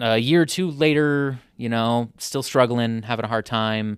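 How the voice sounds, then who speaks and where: The sound is dry and close with no echo, over a very clean, silent background. A man speaks with ordinary pitch variation. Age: 30s. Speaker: activist and social entrepreneur. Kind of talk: casual chat.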